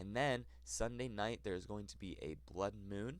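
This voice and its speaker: With an American accent, the voice shows very wide pitch swings and vocal fry. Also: man. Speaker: weather forecaster. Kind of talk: weather forecast talk.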